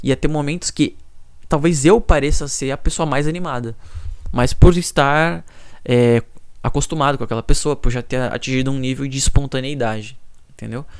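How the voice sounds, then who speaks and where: Pausing long and often, a man talks at a moderate pace in a fairly high voice with ordinary pitch variation. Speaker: YouTuber. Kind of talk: personal vlog monologue. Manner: soft-spoken; low energy.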